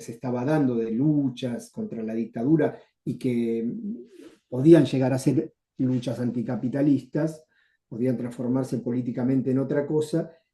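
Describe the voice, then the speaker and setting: A man with a dark, mellow tone and medium pitch talks at a moderate pace, using ordinary pitch variation. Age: 70s. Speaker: retired journalist and former left-wing activist. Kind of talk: interview.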